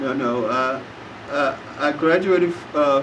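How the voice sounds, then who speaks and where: A man speaks with an American accent. There is audible room echo and noticeable background noise. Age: 70s. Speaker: war veteran. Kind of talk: interview. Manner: halting.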